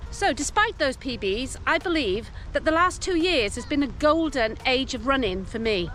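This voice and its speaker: With an English accent, a woman speaks at a high pitch with very wide pitch swings and hardly any pauses. Music plays in the background. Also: moderate pace. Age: 60s. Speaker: running coach. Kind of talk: scripted narration.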